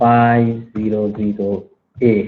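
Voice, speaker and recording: A soft-spoken man at a fairly low pitch, in monotone, flat intonation. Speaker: university lecturer. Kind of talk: online lecture.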